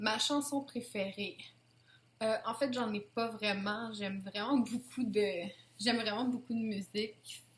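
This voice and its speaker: Speaking at a very slow pace in a Quebec accent, a woman holds a fairly high pitch with fairly even intonation. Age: 20s. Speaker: YouTuber. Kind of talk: casual Q&A tag video.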